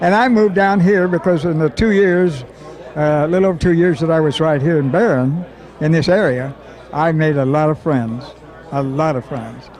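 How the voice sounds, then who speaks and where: Over noticeable background noise and audible room echo, a man speaks at a moderate pace in a fairly high pitch. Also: ordinary pitch variation. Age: 80s+. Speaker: WWII navy veteran. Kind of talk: oral history storytelling. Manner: halting, repetitive.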